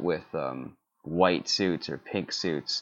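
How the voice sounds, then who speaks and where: A man is speaking. His intonation is lively. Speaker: menswear blogger on film costumes. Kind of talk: casual chat.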